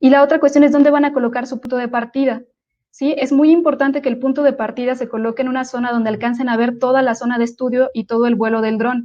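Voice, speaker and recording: A woman talks at a very fast pace in a high pitch. Her intonation is monotone and flat. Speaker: drone photogrammetry instructor. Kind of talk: online lecture. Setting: live online webinar.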